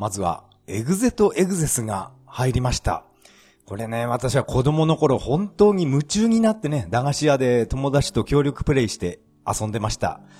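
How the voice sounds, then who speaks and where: A man with a fairly high pitch and a dark, mellow, somewhat breathy tone. His pitch swings very widely at a moderate pace. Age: 40s. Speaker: podcaster. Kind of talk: casual monologue.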